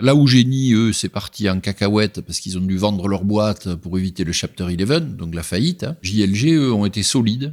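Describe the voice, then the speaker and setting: With lively intonation and a fairly low pitch, a man speaks at a moderate pace on a very clean recording with a silent background. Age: 60s. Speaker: entrepreneur, pig farmer. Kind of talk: interview answer. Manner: colourful, vivid speech.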